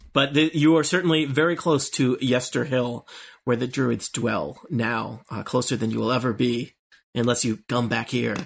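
In a put-on character voice, a man speaks raspily at a medium pitch and a moderate pace. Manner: ominous.

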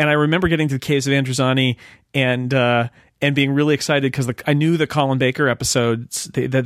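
A man with an American accent at medium pitch, very fast and with fairly even intonation. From United States. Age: 40s. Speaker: magazine editor and podcaster. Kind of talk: casual chat.

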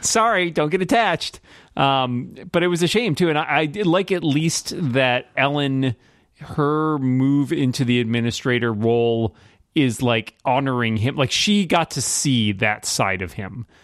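In an ordinary speaking voice, a man with a fairly high pitch speaks with lively intonation on a very clean recording with a silent background. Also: fairly slow pace. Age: 40s. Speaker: podcast co-host. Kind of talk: casual chat.

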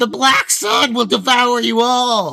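A man uses a put-on character voice that is shrill and extremely high. He speaks at a fairly slow pace in a raised, projected voice. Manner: fanatical, shouting.

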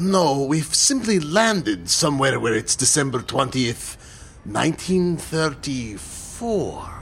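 This man uses a put-on character voice with big pitch swings. He talks at a slow pace in a fairly bright tone. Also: medium pitch for a man.

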